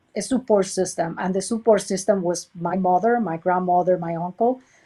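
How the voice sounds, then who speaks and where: A woman's medium-pitched voice with a Puerto Rican accent, a dark, mellow tone, fairly even intonation and a moderate pace. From Puerto Rico. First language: Spanish. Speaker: research center director. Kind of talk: interview. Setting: video webchat. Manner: halting, many fillers.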